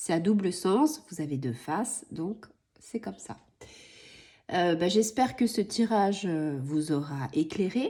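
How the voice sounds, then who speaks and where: Putting on a hoarse character voice, a woman speaks at a medium pitch and a fairly slow pace, with very wide pitch swings and long, frequent pauses. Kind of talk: calm, conversational.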